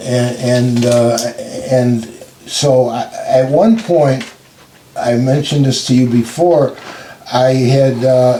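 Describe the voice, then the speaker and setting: At a very slow pace, with long, frequent pauses and fairly even intonation, the voice comes through over noticeable background noise. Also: man, medium pitch for a man. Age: 80s. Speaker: civil rights attorney. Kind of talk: interview answer.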